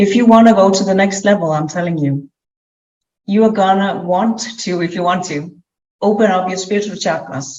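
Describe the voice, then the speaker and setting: A woman with a non-native accent speaks at a medium pitch with ordinary pitch variation. She leaves long, frequent pauses. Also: moderate pace. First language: not English. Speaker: clairvoyant business coach. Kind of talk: interview with spiritual reading.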